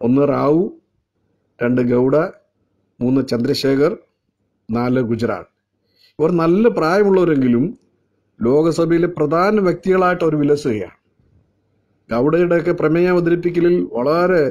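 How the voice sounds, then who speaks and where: Holding a very even loudness, a man talks at a fairly high pitch. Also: ordinary pitch variation. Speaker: evangelist giving daily devotion. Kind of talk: sermon. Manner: halting, phrase-by-phrase delivery.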